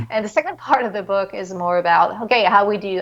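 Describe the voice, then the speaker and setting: Fairly quick speech in a French accent, with fairly even intonation. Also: woman. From France. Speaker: psychologist and author. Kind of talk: interview. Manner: halting, many fillers.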